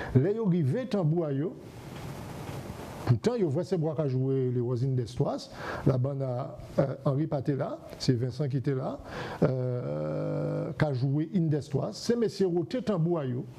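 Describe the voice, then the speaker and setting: Over light background noise, a man with a fairly high pitch speaks very slowly with lively intonation. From Guadeloupe. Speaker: TV host. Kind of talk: TV interview. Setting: TV studio. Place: studio. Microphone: lapel.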